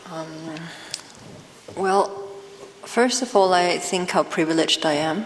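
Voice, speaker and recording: A woman speaks at a fairly slow pace with long, frequent pauses, her medium pitch showing ordinary variation over noticeable background noise. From Denmark. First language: Danish. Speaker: author. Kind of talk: panel discussion.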